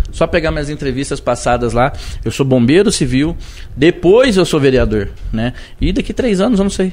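A man with a fairly high pitch and vocal fry talks at a moderate pace, his pitch swinging very widely. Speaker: city councillor and civil firefighter. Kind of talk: casual interview. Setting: live podcast studio.

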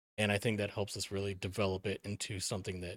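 Speaking very fast with an American accent, a man is heard on a very clean recording with a silent background and a dry, close sound without echo. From Milwaukee, Wisconsin, US Midwest. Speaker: author. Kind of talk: casual chat.

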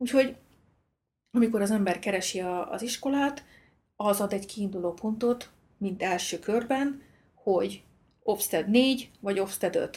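A woman speaks at a fairly slow pace with long, frequent pauses, her somewhat breathy voice at medium pitch with ordinary pitch variation. The recording is very clean, with a silent background. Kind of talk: casual conversation.

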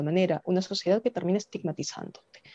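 A woman speaks with a fairly low pitch and a dark, mellow tone. The sound is dry and close, with no echo. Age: 30s. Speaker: congressional candidate and lawyer. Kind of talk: interview.

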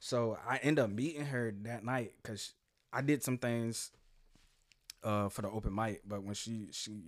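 In a very clean recording with a silent background, a man with an American accent speaks at a moderate pace and medium pitch with ordinary pitch variation in a plain, everyday voice. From Jacksonville, Florida. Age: 30s. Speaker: musician. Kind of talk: casual chat.

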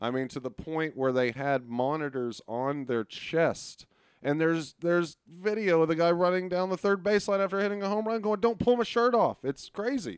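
A high-pitched man with a Texan accent at a moderate pace, hardly any pauses and very wide pitch swings, in a very clean recording with a silent background. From Texas, Arlington. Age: 30s. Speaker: sports podcast co-host. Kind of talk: casual chat.

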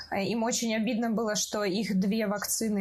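This woman's voice is fairly high and somewhat breathy. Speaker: podcast host. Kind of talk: casual chat.

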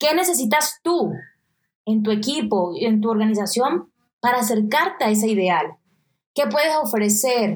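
With a Colombian coastal accent, a woman speaks in a fairly high, somewhat breathy voice. Her pitch swings very widely at a moderate pace. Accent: Colombian coastal (costeño). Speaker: podcast host, digital nomad entrepreneur. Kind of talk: motivational solo podcast.

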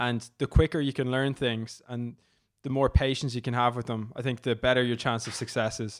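In an Irish accent, a man speaks at a fairly quick pace with a medium pitch. His intonation is monotone and flat, and the recording is very clean over a silent background. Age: 20s. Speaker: content creator and startup co-founder. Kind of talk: interview. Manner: casual, filler-heavy.

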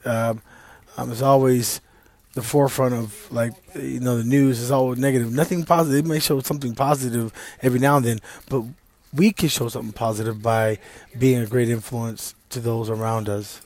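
This man speaks with an East Texas accent. His intonation stays fairly even at a fairly quick pace. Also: medium pitch for a man. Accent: East Texas Southern US. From US South, Deep East Texas. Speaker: vlogger sharing personal views. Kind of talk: personal monologue. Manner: halting with many fillers.

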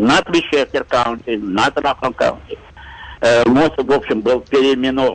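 A man talks at a moderate pace while noticeable background noise continues behind him. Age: 70s. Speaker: retired facility maintenance director, caller. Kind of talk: call-in conversation.

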